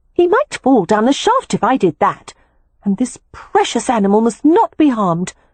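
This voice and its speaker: Fairly high-pitched put-on character voice from a woman, delivered at a moderate pace. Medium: read story. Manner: cheerful, confident.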